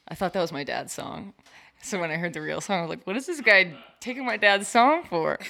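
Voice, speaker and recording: A woman talks at a fairly quick pace with lively intonation, vocal fry and a bright, sharp tone. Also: medium pitch for a woman. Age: 20s. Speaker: roller skater. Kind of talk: casual chat. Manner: animated.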